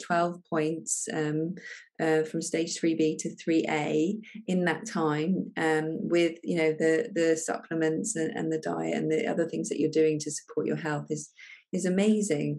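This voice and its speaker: An unremarkable speaking voice with ordinary pitch variation. It keeps a moderate pace. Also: woman. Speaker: functional medicine doctor. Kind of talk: interview questions.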